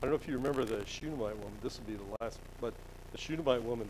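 A man with an American accent at a very fast pace, ordinary pitch variation, light background noise behind him. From Colorado (Denver). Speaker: lay creation science teacher. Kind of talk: church lesson with slides. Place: church.

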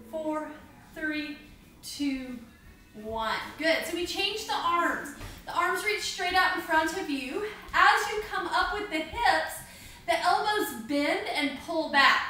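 Very slowly and with long, frequent pauses, a woman speaks in a raised, projected voice amid audible room echo and light background noise. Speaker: fitness instructor. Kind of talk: exercise class instruction. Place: home room. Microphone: camera far.

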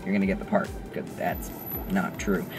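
Over clear music in the background, a man talks with a dry sound that has no echo. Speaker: actor vlogger. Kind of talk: casual vlog chat. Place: car. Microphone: phone near.

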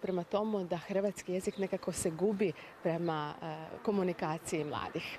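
A woman with a dark, mellow tone talks at a moderate pace. The sound is dry with no echo, and there is light background noise. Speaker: language expert guest. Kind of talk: TV interview. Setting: TV studio. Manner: formal. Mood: calm, informative. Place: street. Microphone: handheld.

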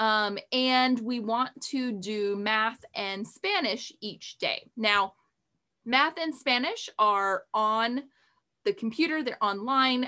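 Against a quiet background, a woman speaks very slowly in a bright, sharp tone with ordinary pitch variation. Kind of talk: casual vlog chat.

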